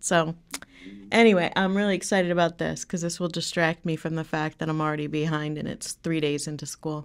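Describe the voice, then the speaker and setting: Fairly low in pitch, a woman talks at a fairly quick pace. Her intonation stays fairly even. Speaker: podcast co-host, grad student. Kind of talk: casual podcast banter. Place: studio. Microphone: studio mic.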